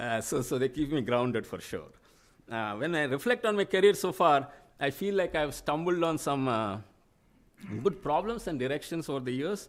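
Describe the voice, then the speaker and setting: A man with a Telugu accent and a fairly high pitch talks at a moderate pace with very wide pitch swings, on a very clean recording with a silent background. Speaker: professor. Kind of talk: acceptance speech. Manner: halting.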